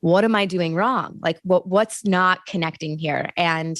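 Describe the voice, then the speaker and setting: An unremarkable speaking voice at a fairly slow pace with fairly even intonation, dry and close with no echo, on a very clean recording with a silent background. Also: woman. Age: 30s. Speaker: journalist and TV host. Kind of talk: interview conversation.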